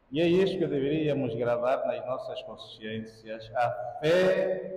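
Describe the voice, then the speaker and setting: A man talks at a very slow pace with audible room echo. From Angola. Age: 60s. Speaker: priest. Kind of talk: sermon. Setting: church.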